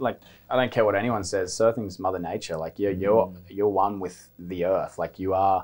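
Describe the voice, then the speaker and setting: Over a quiet background, a man with an Australian accent speaks at a moderate pace. His very deep, low voice keeps fairly even intonation. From Australia, Byron Bay. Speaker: professional surfer; interview guest. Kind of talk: casual chat. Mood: relaxed, reflective. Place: studio. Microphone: lapel.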